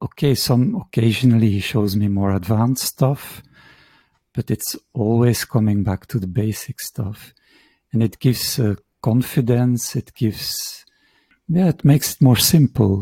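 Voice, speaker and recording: In a Dutch accent, a man speaks at a fairly slow pace with a medium pitch, a dark, mellow tone, a somewhat breathy quality and ordinary pitch variation, in a dry, close sound with no echo. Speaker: shiatsu practitioner and teacher. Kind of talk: interview conversation. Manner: halting.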